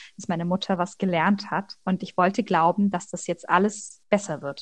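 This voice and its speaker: Against a quiet background, a woman of medium pitch speaks at a moderate pace, somewhat breathy, with fairly even intonation. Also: big swings in loudness. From Leipzig, Saxony. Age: 20s. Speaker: master's student. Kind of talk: personal testimony interview. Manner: hesitant, many fillers.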